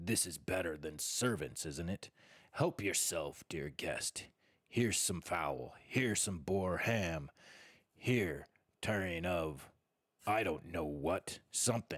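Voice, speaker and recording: A man puts on a gruff, croaky, raspy character voice, growling at a very deep, low pitch. He talks at a fairly slow pace. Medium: read story. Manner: gruff, growling.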